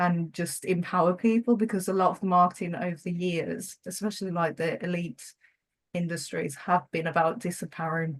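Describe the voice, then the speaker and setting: At a moderate pace, the speech comes through somewhat breathy. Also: woman. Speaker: marketing coach and YouTuber. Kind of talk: podcast interview. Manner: hesitant, many fillers and repetitions; stutters when nervous.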